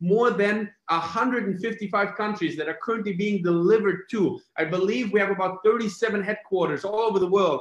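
Speaking at a moderate pace with hardly any pauses, a man with a high voice is heard with audible room echo against a quiet background. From Germany. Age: 30s. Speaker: network marketing presenter. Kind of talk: sales pitch. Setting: video call. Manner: animated. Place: home room.

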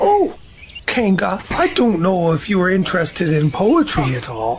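A man uses a put-on, high-pitched character voice. He speaks at a moderate pace over clear background noise. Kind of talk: audio drama performance.

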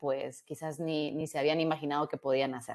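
The background is quiet. A woman talks at a moderate pace with fairly even intonation. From Guatemala. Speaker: robotics engineer. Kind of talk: interview. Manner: halting, many repetitions. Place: home room. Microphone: earbuds.

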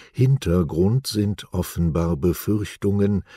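A man's dark, mellow tone comes through in a very clean recording, dry and close with no echo and a silent background. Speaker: news presenter. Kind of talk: news reading. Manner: slow; formal.

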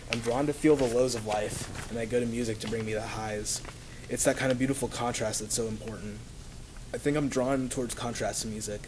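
Over noticeable background noise, someone speaks in an American accent at a fairly quick pace. The intonation is monotone and flat. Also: man. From US South. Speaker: college student; student essay reader. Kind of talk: reading aloud. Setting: stage with audience. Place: classroom. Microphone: camera far.

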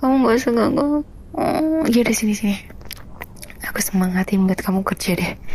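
There is noticeable background noise as a woman talks, her pitch varying in an ordinary way. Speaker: ASMR roleplayer playing a grumpy wife. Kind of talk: heated argument, roleplay. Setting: roleplay with the listener as her partner, meant for earphones. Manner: irritable, sulky, snappy; whiny, petulant, bickering.

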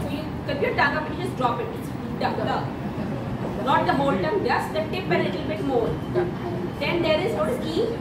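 A woman talks at a very fast pace. Loud background noise is present. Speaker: workshop trainer. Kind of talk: lecture.

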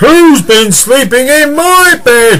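A put-on character voice plays out over clear background noise. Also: man. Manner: growling.

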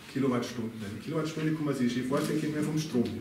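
A man talks at a fairly high pitch with ordinary pitch variation. Audible room echo and light background noise surround him. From Upper Bavaria, Ebersberg district. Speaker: local politician. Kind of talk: political speech. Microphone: camera far.

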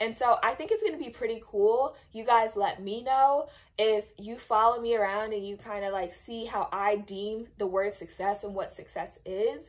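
With hardly any pauses, a woman talks at a fairly high pitch, her loudness swinging widely. Pitch varies in an ordinary way, and the background is quiet. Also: moderate pace. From New Jersey. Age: 20s. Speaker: vlogger and occupational therapy student; vlogger. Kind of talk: casual vlog talk to camera. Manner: animated. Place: home room. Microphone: phone near.

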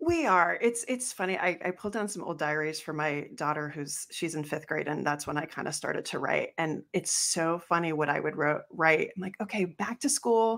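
A woman's fairly low voice with ordinary pitch variation, moderate pace and hardly any pauses, over a quiet background. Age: 40s. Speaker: physical therapist and podcast host. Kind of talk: casual interview chat; scripted outro. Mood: amused, reminiscing. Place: home room. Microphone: studio mic.

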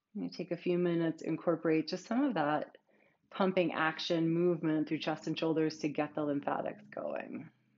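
A woman with a fairly low pitch, ordinary pitch variation, a moderate pace and a normal speaking voice. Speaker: yoga teacher. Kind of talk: guided yoga class, calm cueing. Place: home room.

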